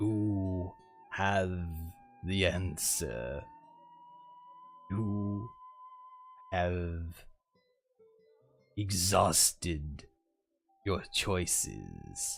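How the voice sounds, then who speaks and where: A put-on character voice, gravelly and low-pitched, moves at a very slow pace with long, frequent pauses while faint music plays in the background. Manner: ominous, cryptic.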